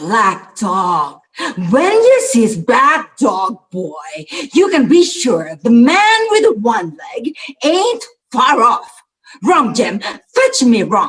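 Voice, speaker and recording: A put-on character voice from a man, extremely high in pitch, with very wide pitch swings and a very slow pace. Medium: stage play.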